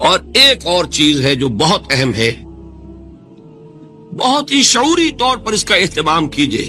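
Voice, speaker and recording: Music plays in the background as a man talks at a fairly high pitch. His pitch swings very widely. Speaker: Islamic scholar giving a lecture. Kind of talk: Islamic religious lecture (bayan). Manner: earnest, preaching, fluent.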